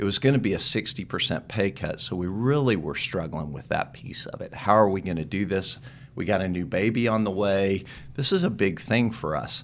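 An unremarkable speaking voice from a man with an American accent, fairly low in pitch, fairly quick, with lively intonation. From Texas, Dallas. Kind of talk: interview.

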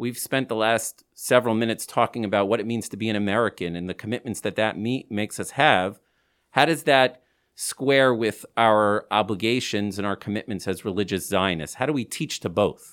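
A man speaks at a fairly quick pace with a fairly low pitch and ordinary pitch variation. The recording is very clean, with a silent background. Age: 40s. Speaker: podcast host and rabbi. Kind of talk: podcast interview. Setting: recording through masks.

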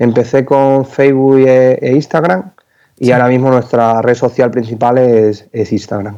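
A man's dark, mellow voice sits at medium pitch, moving at a fairly slow pace with fairly even intonation and very even loudness. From Spain, Extremadura (Cáceres). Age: 20s. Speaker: entrepreneur, company founder. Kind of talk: interview.

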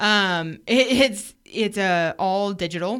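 On a very clean recording with a silent background, a woman with an American accent has a plain, everyday voice, ordinary pitch variation, and a fairly slow pace. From Oregon coast. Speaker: business co-owner and wife.

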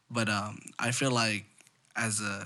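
The speaker has an American accent and a bright, sharp tone. The intonation stays fairly even. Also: man. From Coachella Valley, California. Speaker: rapper. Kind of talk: casual chat.

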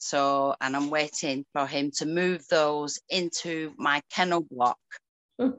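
This woman has a northern English accent and a very deep, low pitch. She talks at a very slow pace with ordinary pitch variation. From rural northern England. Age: 40s. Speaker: ferret breeder. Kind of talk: interview conversation.

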